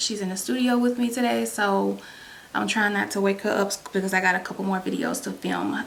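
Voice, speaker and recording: Using a raspy, put-on character voice at a medium pitch, a woman talks fairly quickly over light background noise. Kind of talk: casual, conversational.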